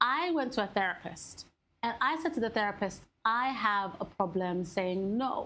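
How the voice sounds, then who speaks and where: With a Somali accent, a woman speaks in a fairly high voice with lively intonation. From Somali family. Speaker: podcast co-host. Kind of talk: casual chat.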